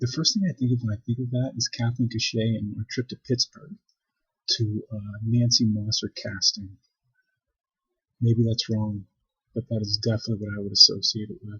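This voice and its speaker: Soft-spoken and medium in pitch, a man talks at a moderate pace with fairly even intonation and long, frequent pauses. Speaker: video blogger. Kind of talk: personal vlog monologue. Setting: library. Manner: quiet, speaking softly; hesitant, many fillers.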